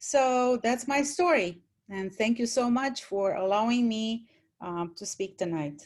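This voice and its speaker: A woman's fairly high voice with lively intonation at a fairly slow pace, in a Romanian accent. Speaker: former college teacher, panelist. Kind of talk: panel talk, personal story.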